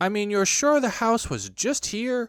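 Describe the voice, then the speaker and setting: A man performs a put-on character voice pitched high. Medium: read story.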